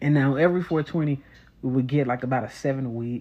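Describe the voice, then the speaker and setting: A man's medium-pitched voice at a moderate pace with ordinary pitch variation, over a quiet background. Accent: American. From Texas, Dallas. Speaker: podcast host. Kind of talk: casual monologue.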